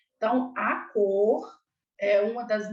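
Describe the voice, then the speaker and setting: Recorded with audible room echo, a woman speaks at a fairly high pitch. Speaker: clown costume lecturer. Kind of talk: online lecture.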